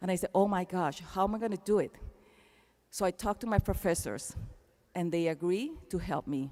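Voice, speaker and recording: In a Panamanian accent, a woman talks at a fairly quick pace but with long, frequent pauses. Her medium-pitched voice is dark and mellow, with ordinary pitch variation. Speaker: keynote speaker. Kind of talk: commencement speech. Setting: arena stage with audience.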